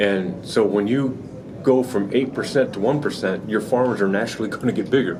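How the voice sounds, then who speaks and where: A man's fairly low voice at a fairly quick pace, with ordinary pitch variation, audible room echo and noticeable background noise. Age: 60s. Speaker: hog farmer. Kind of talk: interview. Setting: trade show. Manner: halting.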